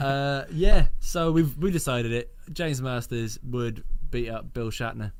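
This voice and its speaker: Audible room echo surrounds a man speaking at a fairly slow pace, with a medium pitch and ordinary pitch variation. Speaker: radio show co-host. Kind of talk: casual chat.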